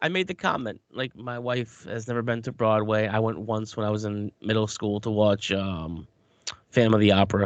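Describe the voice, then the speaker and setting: Here is a man with a normal speaking voice and an American accent. His pitch is fairly low and his pace moderate. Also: ordinary pitch variation. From New York. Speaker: podcast co-host. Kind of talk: casual chat.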